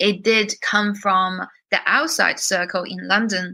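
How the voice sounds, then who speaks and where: A woman's tone is bright and sharp. Her intonation stays fairly even. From China, moved to UK as teenager. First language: Chinese. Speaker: singer-songwriter and producer. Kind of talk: interview conversation. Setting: podcast interview.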